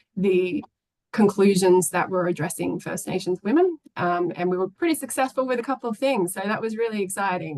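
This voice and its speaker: Someone speaks at a very fast pace with an Australian accent. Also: woman. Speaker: former government delegate to a UN commission. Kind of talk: webinar presentation. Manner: hesitant, many fillers.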